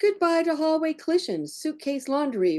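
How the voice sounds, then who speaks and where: Very wide pitch swings mark this woman's speech. Her tone is dark and mellow, and the background is quiet. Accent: American. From California, San Francisco Bay Area. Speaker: poet. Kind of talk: poetry reading.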